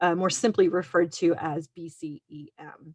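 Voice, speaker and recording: A woman's fairly low voice with an American accent, over a quiet background. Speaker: emergency manager. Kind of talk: presentation.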